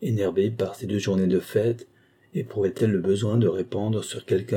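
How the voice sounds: Fairly even intonation in a natural reading voice.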